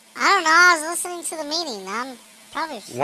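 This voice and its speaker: In a put-on character voice, a woman talks very fast, squeaky and extremely high-pitched. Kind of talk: casual, offhand.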